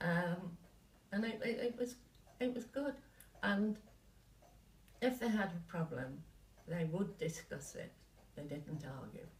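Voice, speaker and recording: Speech comes at a fairly slow pace with long, frequent pauses. The somewhat breathy voice swings very widely in pitch. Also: woman, medium pitch for a woman. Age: 80s+. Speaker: retired company co-founder. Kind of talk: interview answer.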